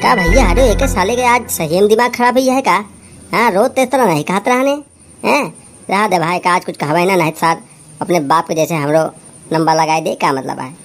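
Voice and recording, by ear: A man's cartoonish character voice, high-pitched, fairly quick and full of lively intonation.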